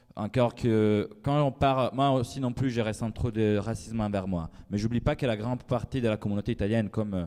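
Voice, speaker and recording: This man has a dark, mellow tone and fairly even intonation. He speaks at a fairly quick pace. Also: medium pitch for a man. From Italy. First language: Italian (speaking French). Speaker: writer. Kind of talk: panel discussion. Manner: halting.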